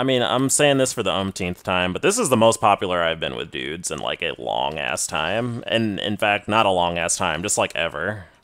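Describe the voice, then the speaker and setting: At a moderate pace and with hardly any pauses, a man with vocal fry makes very wide pitch swings on a very clean recording with a silent background. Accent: American. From Texas. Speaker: gaming streamer. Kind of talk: live gameplay stream chat. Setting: live stream at home. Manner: casual, lots of filler words.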